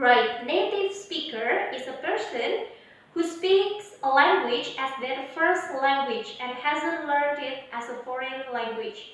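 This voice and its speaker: With an Indonesian accent, a woman speaks at a very slow pace in a high voice with lively intonation and big swings in loudness, amid audible room echo and noticeable background noise. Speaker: English teacher. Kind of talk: online lesson.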